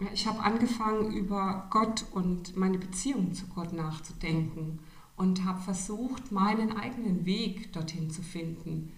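Her medium-pitched voice moves at a fairly slow pace with ordinary pitch variation, and the woman's speech carries an audible room echo. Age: 50s. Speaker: interview guest. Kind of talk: casual interview. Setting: studio, sitting next to host.

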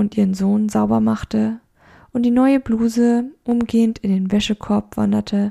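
What we hear is plain reading aloud.

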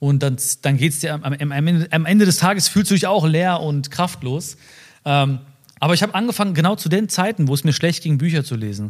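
A man with an unremarkable speaking voice, fairly high in pitch, fairly quick in pace, with ordinary pitch variation. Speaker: social media personality. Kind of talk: casual interview chat.

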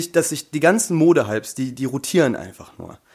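Vocal fry runs through this man's fairly high-pitched voice. He talks at a fairly quick pace with ordinary pitch variation. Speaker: podcast guest. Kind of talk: casual chat. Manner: talkative.

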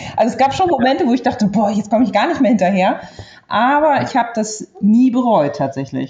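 A woman uses an ordinary speaking voice at a fairly high pitch. She talks at a fairly quick pace. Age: 40s. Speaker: stay-at-home mother, trained bank clerk. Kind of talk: interview, personal love story.

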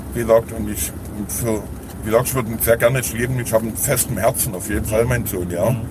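A man talks at a very fast pace with fairly even intonation amid noticeable background noise. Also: medium pitch for a man. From Saxony, Dresden area. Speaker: formerly homeless man. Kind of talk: interview. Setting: in a car. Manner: halting.

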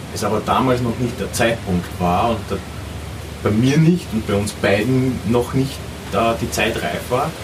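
A man at a medium pitch with ordinary pitch variation, a fairly slow pace and long, frequent pauses, amid audible room echo and noticeable background noise. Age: 40s. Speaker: traveller. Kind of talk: interview. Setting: outdoors.

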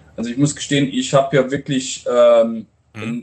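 In an unremarkable speaking voice, a man talks at a moderate pace with ordinary pitch variation. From Romania, Transylvanian Saxon (Brașov). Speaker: restaurant owner and chef. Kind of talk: interview.

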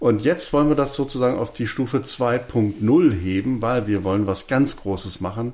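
At a moderate pace and medium pitch, a man with an unremarkable speaking voice talks with ordinary pitch variation and hardly any pauses on a very clean recording with a silent background. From Berlin. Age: 50s. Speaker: podcast co-host, filmmaker. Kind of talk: casual chat.

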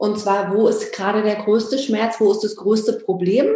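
This woman has a plain, everyday voice. She talks at a fairly quick pace with a fairly high pitch. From Berlin, former East Germany. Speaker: business coach for photographers. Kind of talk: interview. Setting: video call.

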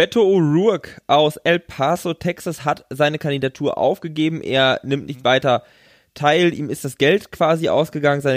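In an ordinary speaking voice, a man talks at a moderate pace and fairly high pitch with ordinary pitch variation, the sound dry and close with no echo on a very clean recording with a silent background. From western Germany. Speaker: podcast co-host on US politics. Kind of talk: casual chat.

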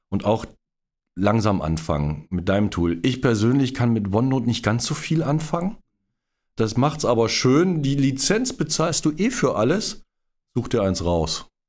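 At a medium pitch with vocal fry, a man talks at a fairly slow pace, his pitch swinging very widely while his loudness stays very even. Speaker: podcast host. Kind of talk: casual interview. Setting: start-up centre with workmen nearby.

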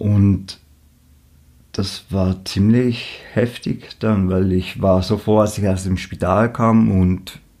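A man with a dark, mellow tone and a fairly low pitch talks at a very slow pace with fairly even intonation. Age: 20s. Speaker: musician with leukemia. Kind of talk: interview.

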